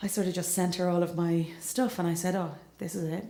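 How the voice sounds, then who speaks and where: A woman with a Monaghan accent speaks in a monotone, flat intonation at a moderate pace. Audible room echo and noticeable background noise are present. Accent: Irish (Monaghan). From Ireland, County Monaghan. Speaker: singer-songwriter. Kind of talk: onstage storytelling. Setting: stage with audience.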